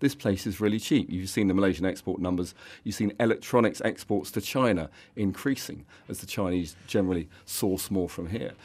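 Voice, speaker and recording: A man with an English accent, fairly low in pitch, at a fairly quick pace with ordinary pitch variation, in a very clean recording with a silent background. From England. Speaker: fund manager. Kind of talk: radio interview. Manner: halting.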